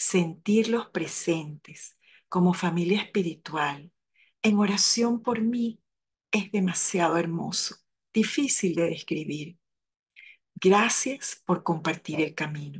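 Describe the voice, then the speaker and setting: Somewhat breathy and fairly low in pitch, a woman speaks at a very slow pace with ordinary pitch variation. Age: 70s. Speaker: lay parish coordinator. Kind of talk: spoken reflection.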